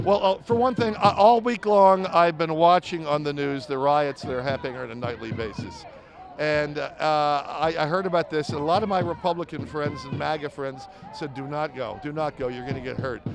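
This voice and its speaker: A man speaks at a fairly high pitch with lively intonation. His pace is moderate, and there is noticeable background noise. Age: 60s. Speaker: protester. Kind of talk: street interview. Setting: outdoors at a protest. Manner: halting.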